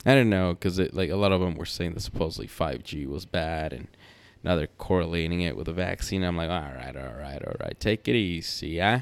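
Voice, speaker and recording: In a very clean recording with a silent background, a man with a very deep, low pitch and vocal fry talks at a fairly quick pace with lively intonation. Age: 40s. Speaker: podcast host. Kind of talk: casual monologue. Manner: halting, many fillers and restarts.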